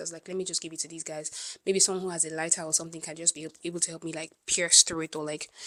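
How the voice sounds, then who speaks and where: Talking at a very fast pace, a woman uses a fairly low pitch and a bright, sharp tone. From Nigeria, Ibadan. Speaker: vlogger. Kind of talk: storytime rant. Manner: animated.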